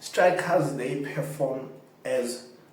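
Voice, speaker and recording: Male speech amid audible room echo and noticeable background noise. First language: not English. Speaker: football fan channel host. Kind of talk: casual commentary to camera.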